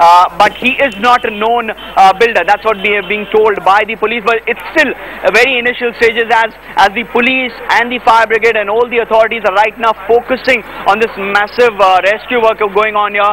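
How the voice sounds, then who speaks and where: Over noticeable background noise, a man with a high pitch uses a raised, projected voice at a fairly quick pace. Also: fairly even intonation. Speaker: television news reporter. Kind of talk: live news field report. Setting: outdoors at disaster site.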